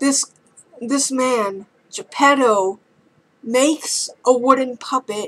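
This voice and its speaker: A woman speaks at a very slow pace in a high voice. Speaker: YouTube film reviewer. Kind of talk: casual video review. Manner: halting, stumbling over words.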